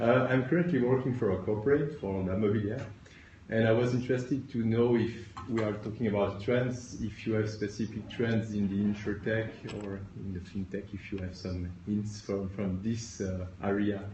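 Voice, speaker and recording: A man with a fairly low voice speaks in a French accent at a moderate pace. His intonation is fairly even, and audible room echo is present. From France. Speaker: audience member, entrepreneur. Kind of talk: audience question. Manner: halting.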